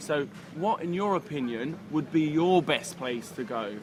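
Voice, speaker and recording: Over noticeable background noise, a man in a London accent talks at a fairly slow pace, his fairly high pitch showing ordinary pitch variation. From London, England. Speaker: dating coach. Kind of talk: casual chat. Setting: cafe.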